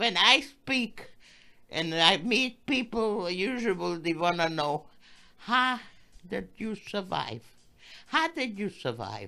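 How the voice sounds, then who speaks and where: In a very clean recording with a silent background, a woman with a bright, sharp tone and vocal fry speaks very slowly at medium pitch, with very wide pitch swings and long, frequent pauses. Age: 80s+. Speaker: Holocaust survivor. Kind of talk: interview answer.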